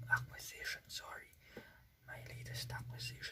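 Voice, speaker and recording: A soft-spoken man, whispering. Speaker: ASMR channel host and toy collector. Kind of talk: casual talk to camera, toy collection review. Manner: whispered, soft-spoken.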